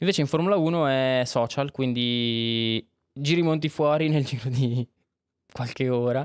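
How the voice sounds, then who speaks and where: A man talks at a fairly slow pace with ordinary pitch variation, the background quiet. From Monza, northern Italy; Italy. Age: 20s. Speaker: filmmaker; podcast guest. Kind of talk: casual chat. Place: studio. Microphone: studio mic.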